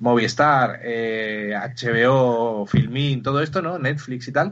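A man's voice sits at a middle pitch. It rises and falls in a normal way. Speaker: podcast co-host. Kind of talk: casual chat.

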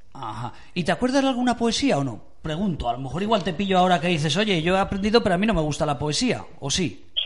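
A man talks at a very fast pace in a high pitch, with very wide pitch swings. Noticeable background noise runs underneath. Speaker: radio host. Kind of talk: casual chat. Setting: studio.

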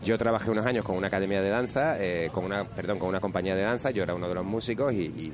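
Noticeable background noise fills the recording. Through it, a man talks at a very fast pace. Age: 30s. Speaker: DJ. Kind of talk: casual chat.

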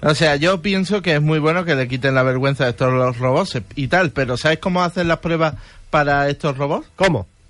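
A man with an ordinary speaking voice, fairly high in pitch, with ordinary pitch variation at a moderate pace. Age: 20s. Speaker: radio co-host. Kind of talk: casual chat. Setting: studio.

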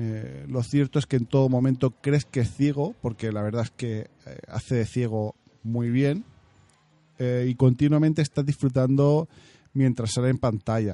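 A man with a dark, mellow tone speaks at a fairly slow pace and with fairly even intonation, the sound dry and close with no echo. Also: medium pitch for a man. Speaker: podcast host. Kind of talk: casual monologue. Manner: hesitant fillers.

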